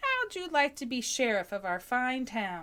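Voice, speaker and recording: A woman's put-on character voice, high in pitch with very wide pitch swings. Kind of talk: folksy cowboy drawl. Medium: read story. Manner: hearty, booming.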